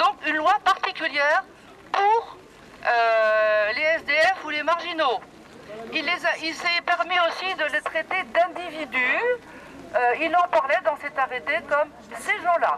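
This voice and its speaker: The pace is very slow. Long pauses come often. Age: 70s. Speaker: protester at a public rally. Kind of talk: public speech at a protest. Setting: outdoors at a town square rally. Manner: halting.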